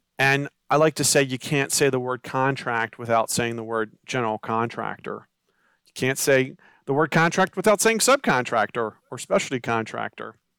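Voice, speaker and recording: A man with a plain, everyday voice speaks at a moderate pace in a medium pitch with ordinary pitch variation. The sound is dry and close with no echo, on a very clean recording with a silent background. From Maryland, Baltimore County. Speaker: construction attorney. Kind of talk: interview.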